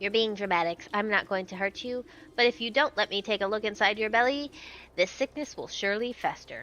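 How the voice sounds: Ordinary pitch variation runs through a natural reading voice.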